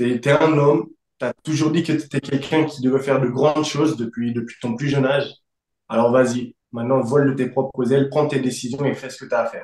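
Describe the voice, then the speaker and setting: A man talks at a fairly quick pace. His pitch is fairly high and his intonation monotone and flat. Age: 20s. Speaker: fitness coach. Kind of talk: interview.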